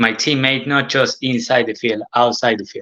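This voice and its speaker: In an Argentine accent, a man speaks at a moderate pace with a bright, sharp tone and monotone, flat intonation, the sound dry and close with no echo. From Argentina. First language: Spanish. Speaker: former professional footballer. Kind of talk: casual interview. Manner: halting, hesitant non-native English.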